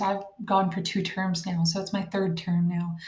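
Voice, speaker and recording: Soft-spoken and somewhat breathy, a woman talks at a moderate pace. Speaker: online college student and homeschooling mom. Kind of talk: casual tutorial vlog. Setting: at home at night. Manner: quiet, soft-spoken.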